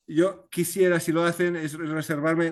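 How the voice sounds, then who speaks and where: The man speaking has a fairly high-pitched voice. The background is quiet. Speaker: novelist. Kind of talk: video conference talk, Q&A. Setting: video call. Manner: halting, many repetitions.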